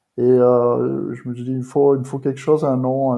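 The speaker is a man at a fairly slow pace. His intonation is monotone and flat. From southern France, Provence. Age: 30s. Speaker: bodybuilding posing coach. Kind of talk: podcast interview.

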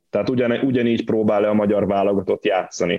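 A man speaks at a fairly quick pace with a fairly low pitch. His intonation stays flat and monotone. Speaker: football podcast co-host. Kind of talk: casual football discussion. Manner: halting, repeats words.

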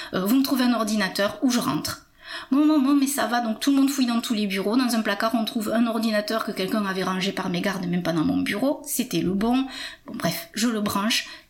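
Against noticeable background noise, a woman with a fairly high voice talks at a fairly quick pace with ordinary pitch variation. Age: 50s. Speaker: patient sharing testimony. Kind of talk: testimony. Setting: at home.

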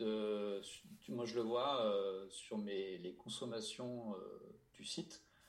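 Over audible room echo, a man with fairly low pitch and ordinary pitch variation speaks at a very slow pace. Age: 30s. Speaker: motorcycle journalist. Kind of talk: casual chat.

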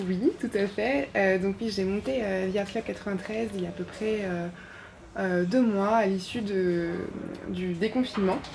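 A woman's somewhat breathy voice moves very slowly, her pitch varying in an ordinary way. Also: medium pitch for a woman. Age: 30s. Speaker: visual artist. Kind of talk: interview. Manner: halting, many hesitations.

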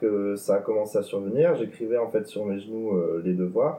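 A man is speaking. His pace is moderate. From Toulouse, southwest France. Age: 20s. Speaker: tourism student with hemiplegia. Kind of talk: personal testimony interview. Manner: halting, many hesitations.

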